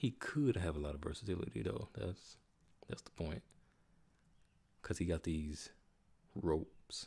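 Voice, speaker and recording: A man's very deep, low voice with lively intonation and a relaxed tone, somewhat breathy, with big swings in loudness, long, frequent pauses and a fairly slow pace. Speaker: gaming streamer. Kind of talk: casual live stream commentary. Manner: relaxed, casual.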